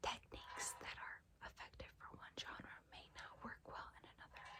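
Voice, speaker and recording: A woman whispers. She speaks at a very slow pace. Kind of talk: ASMR essay reading. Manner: whispered, soft-spoken.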